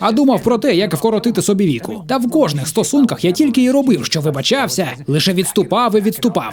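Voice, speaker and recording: A man speaks at a very fast pace with a high pitch and very wide pitch swings. Noticeable background noise runs underneath. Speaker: voice-over dubber. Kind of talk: dubbed stand-up comedy.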